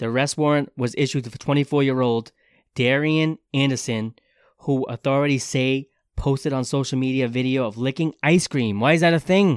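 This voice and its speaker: A man with a plain, everyday voice speaks at a fairly quick pace, medium in pitch, with fairly even intonation. The sound is dry and close with no echo, on a very clean recording with a silent background. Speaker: podcast host. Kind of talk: casual banter, comedic podcast chat. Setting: recorded podcast, two hosts. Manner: jokey, bantering.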